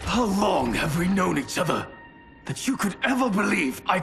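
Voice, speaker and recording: In a cartoonish character voice, a man speaks high-pitched at a moderate pace with very wide pitch swings while clear music plays in the background. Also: very even loudness. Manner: stern, terse.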